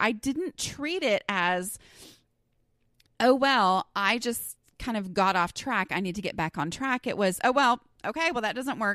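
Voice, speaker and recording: In a very clean, dry and close recording with no echo and a silent background, a woman with an American accent talks at a fairly slow pace in a high, bright, sharp voice with an animated tone. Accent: Southern US, stronger when flustered. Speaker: podcast host. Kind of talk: casual podcast monologue. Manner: conversational, animated.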